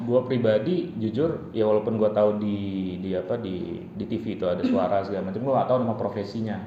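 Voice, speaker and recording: A man's fairly low-pitched, very fast speech with hardly any pauses and ordinary pitch variation, over noticeable background noise. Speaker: podcast host. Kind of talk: casual interview talk.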